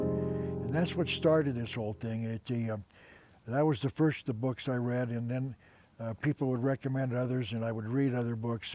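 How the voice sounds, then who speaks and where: At a fairly quick pace, a voice with an American accent and a dark, mellow tone keeps a fairly even intonation. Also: man. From US Southwest (Tucson, Arizona). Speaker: author and historian. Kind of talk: interview testimony. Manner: halting.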